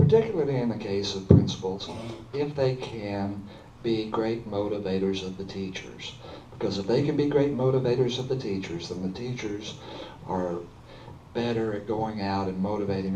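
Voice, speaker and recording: Audible room echo surrounds a man of fairly low pitch who talks at a moderate pace with ordinary pitch variation. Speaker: school board candidate. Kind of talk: candidate forum answer. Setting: public forum with audience.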